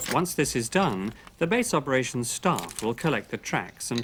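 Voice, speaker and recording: With lively intonation, a man talks at a moderate pace in a plain, everyday voice. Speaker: professional voice over artist. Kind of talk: corporate training narration.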